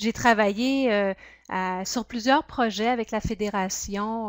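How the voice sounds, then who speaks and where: With fairly even intonation, a woman speaks at a fairly slow pace in a dry, close recording with no echo. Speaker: project officer and workshop trainer. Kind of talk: webinar training presentation. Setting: webinar. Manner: hesitant, many fillers.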